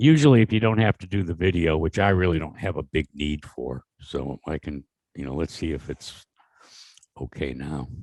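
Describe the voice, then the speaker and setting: With vocal fry and a very deep, low pitch, a man talks at a moderate pace with lively intonation, recorded with a dry, close sound with no echo against a quiet background. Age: 70s. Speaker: motorsport interview show host. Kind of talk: interview.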